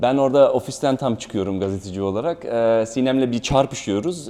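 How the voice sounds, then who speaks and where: A man speaks at medium pitch and a moderate pace, with ordinary pitch variation. His tone is dark and mellow. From Germany. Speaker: actor. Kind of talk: promotional interview.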